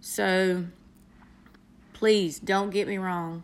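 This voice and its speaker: Speaking in a Southern US accent, a woman uses a warm tone at medium pitch, her intonation monotone and flat. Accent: Southern US, country. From North Carolina, US South. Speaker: aspiring motivational speaker, nurse. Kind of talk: motivational personal monologue to an app audience. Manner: earnest, warm, encouraging.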